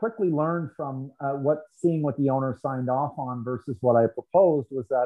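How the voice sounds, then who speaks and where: A man with a Canadian accent, a normal speaking voice, fairly high pitch for a man and a moderate pace. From Canada, Toronto area. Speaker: sports nutrition industry figure. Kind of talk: interview conversation.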